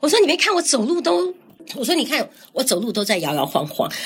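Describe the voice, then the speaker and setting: A woman talks fairly quickly. Her pitch rises and falls very widely. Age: 60s. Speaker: ovarian cancer survivor and community elder-care founder. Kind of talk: casual interview.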